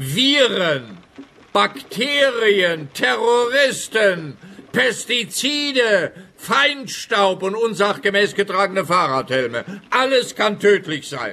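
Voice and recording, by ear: In a put-on character voice, a man speaks slowly and with few pauses, his high, bright and sharp voice swinging widely in pitch.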